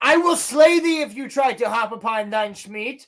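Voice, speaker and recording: The put-on character voice sits fairly high in pitch and moves at a moderate pace. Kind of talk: archaic, pompous. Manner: pompous.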